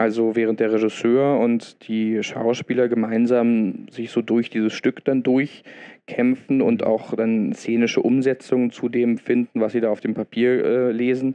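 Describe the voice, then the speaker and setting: A man's medium-pitched, flat monotone at a fairly slow pace, with hardly any pauses. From Berlin, Germany. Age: 30s. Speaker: theatre dramaturg. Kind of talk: interview. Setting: in the theatre. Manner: halting, many fillers.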